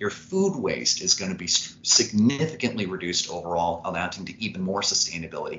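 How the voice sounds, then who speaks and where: Talking at a fairly quick pace, a man with a very deep, low pitch is heard over noticeable background noise. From Indiana (Evansville, southern Indiana). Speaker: startup founder and CEO. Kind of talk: interview.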